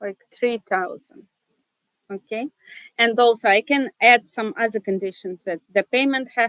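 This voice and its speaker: In a Russian accent, a woman talks in a dry, close sound with no echo. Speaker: seminar presenter. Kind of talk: tutorial. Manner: hesitant, many fillers.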